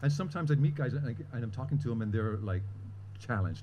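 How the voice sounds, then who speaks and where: The voice is somewhat breathy with a dark, mellow tone and ordinary pitch variation. It goes at a very fast pace amid audible room echo. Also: man. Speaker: storyteller, long-term HIV survivor. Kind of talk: personal storytelling at live event.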